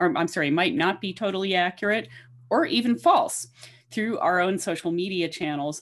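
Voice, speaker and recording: Her intonation lively and pitch fairly low, a woman speaks at a moderate pace in an unremarkable speaking voice. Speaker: panel moderator. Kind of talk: introducing a panel discussion. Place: home room. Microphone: webcam.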